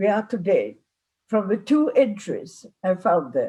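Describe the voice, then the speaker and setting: A somewhat breathy woman's voice with a non-native accent. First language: not English. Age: 90s. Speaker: psychotherapist. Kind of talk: lecture. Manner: halting.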